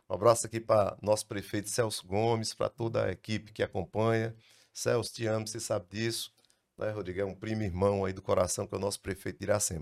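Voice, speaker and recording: Fairly quick in pace, a man speaks at a medium pitch in an ordinary speaking voice. The recording is very clean, with a silent background. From Brazil, Ceará interior. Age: 60s. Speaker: lawyer, law firm founder. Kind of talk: casual interview chat.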